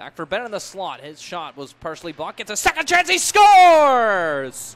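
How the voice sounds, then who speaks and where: An excited man speaks at a fairly quick pace with hardly any pauses. His loudness swings widely. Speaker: hockey play-by-play commentator. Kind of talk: live sports commentary. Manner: excited on goals, rising energy.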